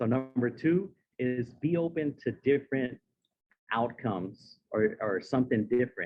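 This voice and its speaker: A man speaks at a medium pitch. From San Diego, California. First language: Spanish. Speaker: motivational speaker. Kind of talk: speech. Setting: stage with audience.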